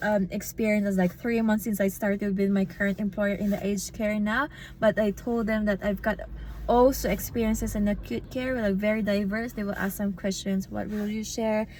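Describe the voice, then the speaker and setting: Her voice is somewhat breathy and sits at a medium pitch. The woman's intonation stays flat and monotone. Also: fairly quick pace. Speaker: registered nurse vlogger. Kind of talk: casual vlog.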